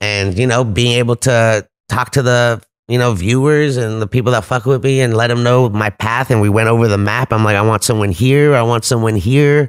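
In a very clean recording with a silent background, a man with an American accent speaks at a fairly quick pace. His pitch is medium and his intonation fairly even. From US West Coast, Los Angeles San Fernando Valley. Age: 40s. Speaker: cannabis event host. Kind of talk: casual chat. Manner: loud.

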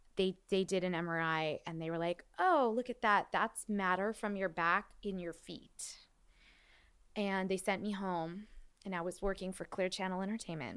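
A woman talks at a moderate pace in a normal speaking voice. Her pitch sits in the medium range, with fairly even intonation. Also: very clean recording, silent background. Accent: American. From Los Angeles, San Fernando Valley. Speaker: musical theater performer and director. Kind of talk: casual chat.

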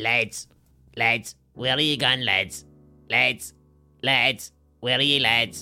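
With faint music in the background, a put-on character voice at a low-to-middle pitch moves at a very slow pace with long, frequent pauses. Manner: calling out to boys, plaintive.

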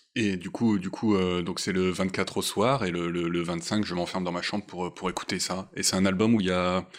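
This man's pitch sits very deep and low. He keeps a moderate pace with flat, monotone intonation. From northern France, Boulogne-sur-Mer. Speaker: concert programmer. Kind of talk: casual interview. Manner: hesitant, repeats words.

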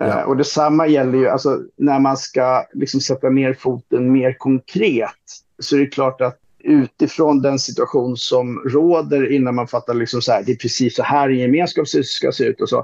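The recording is dry and close with no echo, as a man talks at a moderate pace in very even loudness. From Sweden, Roslagen (Stockholm region). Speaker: social democratic politician and author. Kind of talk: casual podcast discussion.

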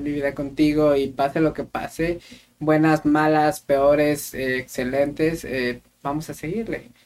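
A man talks with a central Mexican accent. His pitch is fairly high. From Mexico, Querétaro. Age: 20s. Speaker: podcast co-host. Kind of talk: casual chat.

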